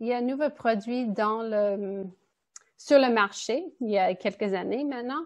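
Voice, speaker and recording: A woman talks at a fairly slow pace in a fairly high voice with ordinary pitch variation. Hers is a plain, everyday voice. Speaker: nutritionist. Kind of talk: presentation.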